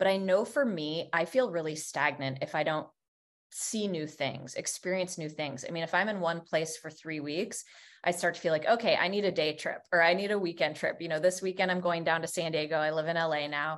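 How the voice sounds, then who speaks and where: A woman with an American accent speaks in a normal speaking voice at a fairly low pitch and fairly quick pace. Her pitch varies in an ordinary way over a quiet background. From Vermont, US. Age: 40s. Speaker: business coach. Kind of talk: interview.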